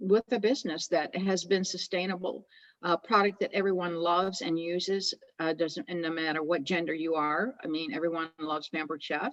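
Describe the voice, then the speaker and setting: Fairly quick delivery in an ordinary speaking voice, its pitch variation ordinary. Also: woman, fairly low pitch for a woman. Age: 60s. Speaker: direct seller, retired school teacher. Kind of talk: interview.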